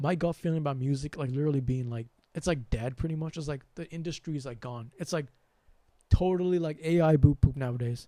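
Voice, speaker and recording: Soft-spoken and with an American accent, a man talks at a very fast pace in a dark, mellow tone, his pitch varying in an ordinary way and his loudness swinging widely. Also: fairly high pitch for a man. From US, Sri Lankan family. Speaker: spiritual channel host. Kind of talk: livestream monologue. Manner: soft with sudden loud bursts.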